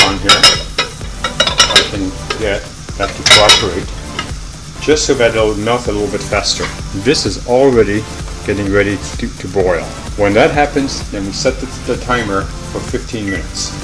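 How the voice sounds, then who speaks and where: A man keeps a moderate pace, breaking often into long pauses, while loud background noise fills the recording. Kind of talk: cooking tutorial. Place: kitchen. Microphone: camera far.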